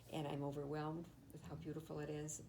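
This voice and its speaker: A woman with an American accent speaks fairly quickly in a very deep, low pitch. Her tone is dark and mellow, and the room echo is audible. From Michigan, Detroit. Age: 80s+. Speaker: retired teacher. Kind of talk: oral history interview. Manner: halting.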